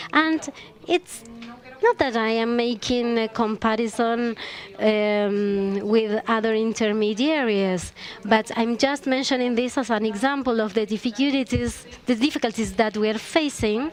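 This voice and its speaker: A woman's fairly high voice with a Chilean accent, fairly slow, with ordinary pitch variation and noticeable background noise. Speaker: panelist. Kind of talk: panel discussion.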